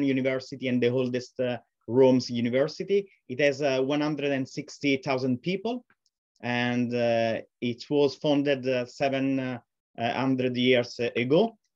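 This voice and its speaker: A man talks at a very slow pace and medium pitch against a quiet background. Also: ordinary pitch variation. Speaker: professor. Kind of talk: lecture. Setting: video call. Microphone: webcam.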